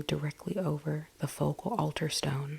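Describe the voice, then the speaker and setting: A woman talks at a moderate pace. Her voice is soft-spoken. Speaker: ASMR content creator. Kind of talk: ASMR bedtime story book reading for sleep. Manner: soft-spoken, relaxing.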